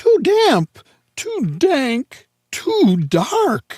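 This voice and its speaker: This is a put-on character voice, high and squeaky. Its pitch swings very widely. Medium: read story.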